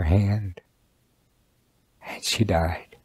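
Speaking in an Oklahoma accent, a man uses a very deep, low pitch and fairly even intonation. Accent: Oklahoma American. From Shawnee, Oklahoma. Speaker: Sac and Fox elder. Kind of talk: personal testimony interview.

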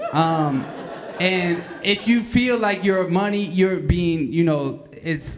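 Light background noise sits under speech that moves at a fairly slow pace. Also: man. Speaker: slam emcee. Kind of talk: casual, joking emcee banter between poets. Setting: stage with audience. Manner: relaxed, jokey, conversational, with hesitant fillers. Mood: joking, playful. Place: hall.

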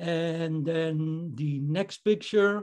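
Fairly high-pitched male voice with fairly even intonation over a quiet background. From Netherlands. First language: Dutch. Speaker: amateur photographer, club member. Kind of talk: photo presentation. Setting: video call. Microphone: video call.

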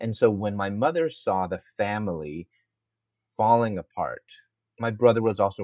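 This is an unremarkable speaking voice. Its pace is moderate. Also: man. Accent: American. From US Midwest (Chicago). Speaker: Bible professor and speaker. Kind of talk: interview testimony.

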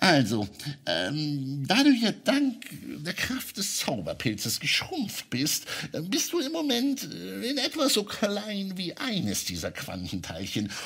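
A man uses a put-on character voice. He goes at a fairly slow pace over light background noise. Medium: audio drama. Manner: patient, explanatory, gently witty.

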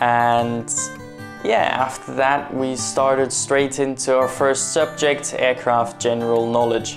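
A man speaks very slowly in a flat monotone, with clear music playing in the background. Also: very even loudness. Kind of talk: casual vlog chat. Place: office.

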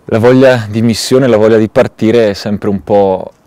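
A man talks with fairly even intonation in a dry recording with no echo. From Italy. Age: 30s. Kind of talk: testimony. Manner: halting, with many hesitations. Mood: calm, reflective. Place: open country.

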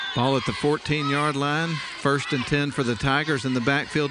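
A man with a fairly high pitch talks while music plays in the background. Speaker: play-by-play announcer. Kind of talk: live sports commentary. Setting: live stream broadcast. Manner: fast, excited play-by-play delivery, rising on big plays.

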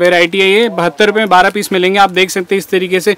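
A man with a high pitch speaks fairly quickly in a monotone, flat intonation, the sound dry with no echo. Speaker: market vlogger showing wholesale goods. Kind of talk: product showcase commentary. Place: shop. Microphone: phone near.

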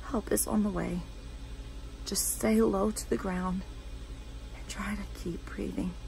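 Over light background noise, a woman talks at a very slow pace. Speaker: 911 operator character, monologue performer. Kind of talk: scripted dramatic monologue, first-person acted storytelling. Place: home room. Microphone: phone near.

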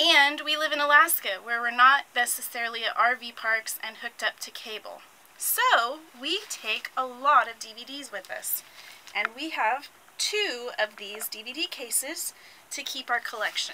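A woman speaks at a fairly slow pace in a raised, projected voice with big swings in loudness, over light background noise. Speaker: RV owner vlogger. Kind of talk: casual vlog chat. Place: home room. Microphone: phone near.

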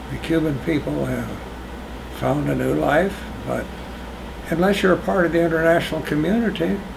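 A man talks at a moderate pace while noticeable background noise plays beneath him. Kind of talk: oral history interview answer. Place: home room. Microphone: camera far.

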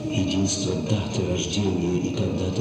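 A man speaks very slowly in a very deep, low pitch with ordinary pitch variation. Strong room echo surrounds his voice. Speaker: stage actor. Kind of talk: poetry reading. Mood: intense, contemplative. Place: stage.

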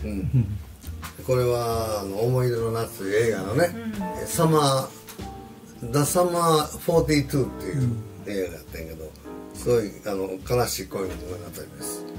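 With clear music in the background, a man with a Kansai accent speaks at a moderate pace in a fairly low pitch, his voice making very wide pitch swings and big swings in loudness. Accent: Kansai Japanese. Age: 80s+. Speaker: jazz pianist. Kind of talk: casual conversation. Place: home room. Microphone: camera far.

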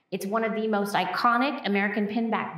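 A woman at a moderate pace with noticeable background noise. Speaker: museum educator. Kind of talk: educational gallery talk. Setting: museum hallway.

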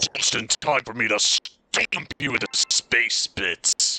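A man puts on a growling character voice at a medium pitch. He talks at a fairly slow pace in a dry, close sound with no echo. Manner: gloating, taunting.

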